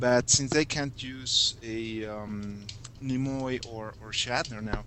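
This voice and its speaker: Noticeable background noise runs behind a man speaking at a medium pitch. His pace is very slow and his intonation fairly even. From Mexico City, Mexico. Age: 30s. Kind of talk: casual chat. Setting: Skype conference call.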